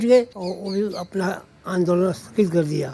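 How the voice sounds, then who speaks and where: With a dark, mellow tone, a man speaks with fairly even intonation. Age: 80s+. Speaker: veteran local politician. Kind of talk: interview.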